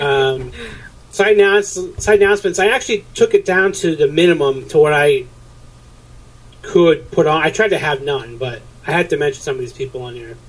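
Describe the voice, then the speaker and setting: With a New Hampshire accent, a fairly high-pitched man speaks in a lively intonation, his loudness swinging widely, with long, frequent pauses and noticeable background noise. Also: fairly quick pace. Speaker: podcast host planning an episode. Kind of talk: casual pre-show planning chat.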